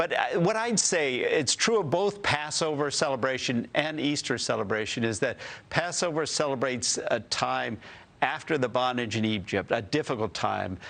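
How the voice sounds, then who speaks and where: A man's fairly high voice with vocal fry and very wide pitch swings, very even loudness, a moderate pace and a quiet background. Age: 60s. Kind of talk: TV news interview. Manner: halting, with frequent repetitions.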